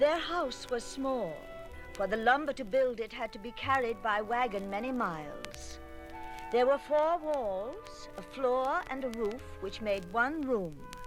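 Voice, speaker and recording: Music plays in the background as a woman speaks at a fairly slow pace. Her voice is fairly high, with lively intonation. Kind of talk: story narration.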